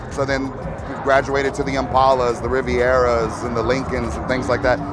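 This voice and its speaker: Music plays in the background as a man with an American accent speaks. His pitch is medium and his pace is moderate. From Texas. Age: 40s. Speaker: lowrider builder. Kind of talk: interview. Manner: halting, many repeated words.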